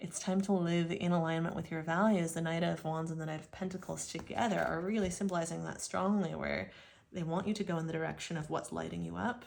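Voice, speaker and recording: Fairly low in pitch and fairly even in intonation, a woman talks at a very fast pace with audible room echo. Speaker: tarot reader. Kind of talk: tarot reading monologue.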